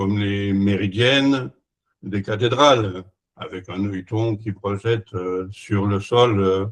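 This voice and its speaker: Speaking very slowly, a man keeps a fairly low pitch. His intonation stays fairly even. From France. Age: 80s+. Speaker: retired engineer and sundial maker. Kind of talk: conference presentation. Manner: halting, many hesitations.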